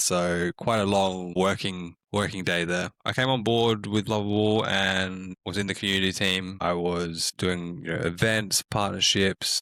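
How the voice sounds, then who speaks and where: A man with an Australian accent and a very deep, low pitch speaks fairly slowly in a bright, sharp tone and a flat monotone, recorded with a dry, close sound and no echo. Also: very clean recording, silent background. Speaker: community manager at a tech startup. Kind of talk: podcast interview.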